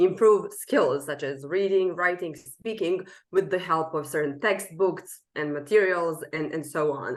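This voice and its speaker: In a quiet background, a woman with a Serbian accent speaks at a moderate pace and a fairly low pitch with ordinary pitch variation. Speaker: language coach. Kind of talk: interview.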